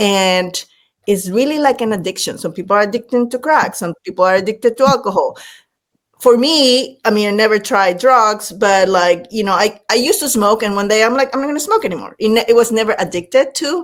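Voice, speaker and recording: The speech moves at a fairly quick pace. It carries a Latin American accent. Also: woman, fairly high pitch for a woman, ordinary pitch variation. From Panama. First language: Spanish. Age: 50s. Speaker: leadership speaker and former executive. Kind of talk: podcast interview. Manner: animated.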